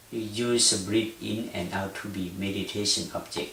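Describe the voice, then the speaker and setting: A man with a Thai accent speaks at a fairly low pitch and with fairly even intonation, over noticeable background noise and audible room echo. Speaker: Buddhist meditation teacher. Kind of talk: lecture. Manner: halting.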